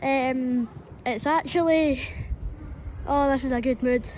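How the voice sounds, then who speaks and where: A woman's high-pitched voice in a west central Scottish accent, at a fairly slow pace. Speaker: trainspotter vlogger. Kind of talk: casual commentary while filming trains. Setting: outdoors at a railway station platform.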